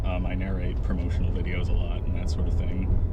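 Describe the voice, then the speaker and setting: Fairly low male voice against noticeable background noise. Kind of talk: casual interview in a car. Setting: in a car.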